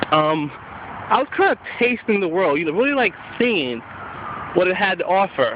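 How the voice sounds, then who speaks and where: At a moderate pace, a man with a high pitch talks over noticeable background noise. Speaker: college student. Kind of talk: personal reflection. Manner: halting, repeats words.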